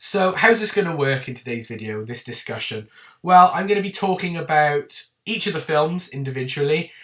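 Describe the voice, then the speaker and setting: Somewhat breathy delivery in an English accent, with lively intonation and a moderate pace. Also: man. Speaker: film reviewer youtuber. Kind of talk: casual video review talk. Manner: chatty, informal.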